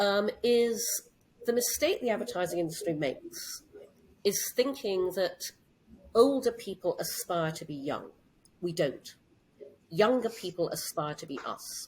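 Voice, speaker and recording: Pausing long and often, a woman speaks at a fairly slow pace in a somewhat breathy voice, with very wide pitch swings and big swings in loudness. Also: medium pitch for a woman. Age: 60s. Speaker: CEO and entrepreneur. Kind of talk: interview.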